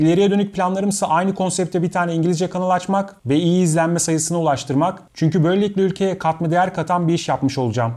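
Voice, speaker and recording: Speaking very fast with hardly any pauses, a man has a high pitch and a dark, mellow tone. His intonation is fairly even, his loudness very even, and the background quiet. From Istanbul, Turkey; Turkey. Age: 30s. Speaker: YouTuber and video editor; YouTuber. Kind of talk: talking-head Q&A monologue. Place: home room.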